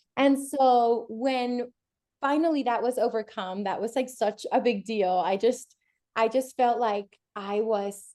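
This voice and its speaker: A woman with a Spanish accent has a fairly high pitch, a dark, mellow tone and fairly even intonation. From Puerto Rico, then New York from age 12. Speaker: bilingual homeschooling parent. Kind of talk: podcast interview. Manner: casual, with many fillers.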